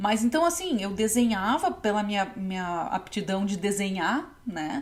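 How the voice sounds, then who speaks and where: Somewhat breathy delivery with lively intonation. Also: woman. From Novo Hamburgo, Rio Grande do Sul, Brazil. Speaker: textile designer and podcast host. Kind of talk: casual podcast talk.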